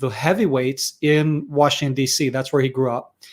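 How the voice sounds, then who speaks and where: Fairly high in pitch, a man's voice keeps fairly even intonation in a very clean recording against a silent background. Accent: American. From Israel. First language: Hebrew. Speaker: security and defense expert. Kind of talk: interview.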